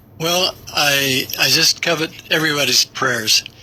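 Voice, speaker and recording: Through noticeable background noise, a man with an American accent talks with ordinary pitch variation. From Tennessee. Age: 70s. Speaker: pastor and war veteran. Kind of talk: radio interview. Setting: radio studio.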